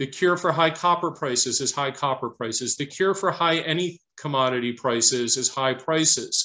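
Over a quiet background, a man talks at a moderate pace with a fairly high pitch, ordinary pitch variation, and hardly any pauses. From Detroit, US Midwest. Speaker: investment fund manager; guest. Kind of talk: interview Q&A and presentation; interview answer. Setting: video call. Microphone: video call.

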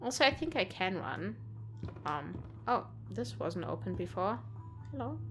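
The speech moves at a fairly slow pace with big swings in pitch. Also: woman, medium pitch for a woman.

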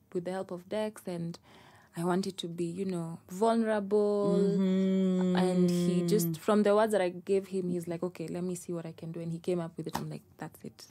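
The voice is soft-spoken with a dark, mellow tone. Its intonation is monotone and flat. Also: woman, moderate pace. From Kenya. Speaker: singer and producer. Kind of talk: podcast interview answer. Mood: relaxed, laughing at times. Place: studio. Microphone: studio mic.

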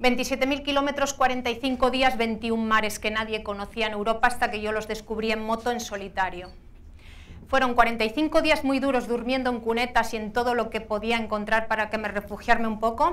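The speaker is a woman with fairly even intonation. Her delivery moves at a moderate pace. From Asturias, Spain. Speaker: adventurer and motorcycle rider. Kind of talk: motivational talk. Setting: stage with audience. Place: hall. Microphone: lapel.

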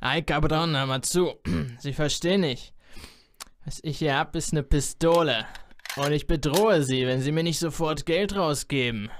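Using a raspy, put-on character voice, a man speaks at a moderate pace and a fairly high pitch with ordinary pitch variation and long, frequent pauses. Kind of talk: comic overacting. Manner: would-be cool, drawling.

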